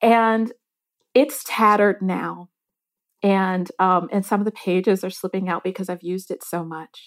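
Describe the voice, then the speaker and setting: In a very clean recording with a silent background and a dry, close sound with no echo, a woman with an American accent has an ordinary speaking voice at a medium pitch. She speaks at a moderate pace with fairly even intonation but big swings in loudness. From US Midwest, Detroit, Michigan. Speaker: newspaper food editor. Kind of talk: interview.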